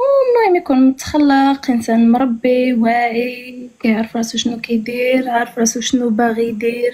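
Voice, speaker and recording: At a moderate pace and with hardly any pauses, a woman speaks in a high pitch, her intonation monotone and flat and her loudness very even. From Morocco. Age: 20s. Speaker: university student and hotel receptionist. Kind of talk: matchmaking show conversation.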